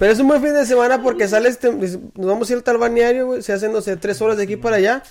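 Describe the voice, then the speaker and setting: The delivery is very fast and animated, with hardly any pauses. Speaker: podcast host. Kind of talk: casual chat.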